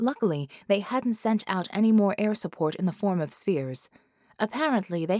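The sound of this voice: Reading in an unforced voice.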